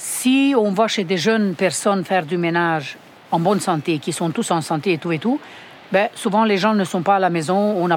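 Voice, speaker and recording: At a moderate pace, a woman speaks in an ordinary speaking voice with medium pitch and ordinary pitch variation. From Romania. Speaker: home care worker. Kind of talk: interview.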